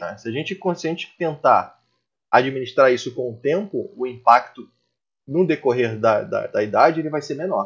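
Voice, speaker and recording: Lively in intonation and moderately paced, the speech has a somewhat breathy quality. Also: man. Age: 30s. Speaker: taekwondo instructor. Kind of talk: casual chat.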